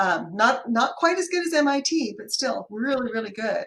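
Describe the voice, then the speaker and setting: A woman with an unremarkable speaking voice talks at a moderate pace, her intonation lively. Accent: American. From US Pacific Northwest (Seattle), high school in Kentucky. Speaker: accountant running a bookkeeping business. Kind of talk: casual chat.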